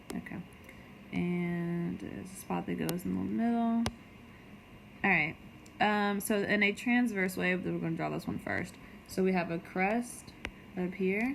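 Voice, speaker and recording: A woman speaks fairly slowly with long, frequent pauses, and audible room echo surrounds her voice. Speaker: middle school science teacher. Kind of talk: recorded lecture for students. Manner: casual, filler-heavy.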